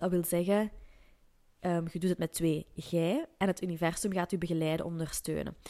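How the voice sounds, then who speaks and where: A woman with a fairly low pitch and a dark, mellow tone speaks at a moderate pace in a monotone, flat intonation. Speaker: podcast host, entrepreneur and coach. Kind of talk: solo podcast monologue.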